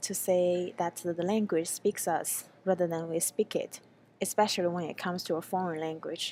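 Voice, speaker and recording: A woman with a Chinese accent speaks at medium pitch and a moderate pace. Her intonation is fairly even, and the recording is very clean with a silent background. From China. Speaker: graduate student researcher. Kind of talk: conference presentation. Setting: pre-recorded video for a panel. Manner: hesitant, with frequent fillers.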